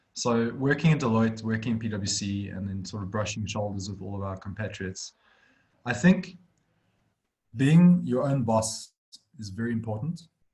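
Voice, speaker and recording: A man with a medium pitch speaks at a moderate pace, his intonation lively and his voice somewhat breathy. His loudness swings widely, and he takes long, frequent pauses. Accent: South African. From South Africa. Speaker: accounting firm director. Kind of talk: webinar interview. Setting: video call.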